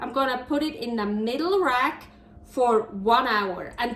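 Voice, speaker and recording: A woman's high voice with a Swiss German accent, lively intonation and a fairly slow pace. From Switzerland. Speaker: cooking show host. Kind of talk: cooking tutorial. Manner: casual, chatty with hesitations.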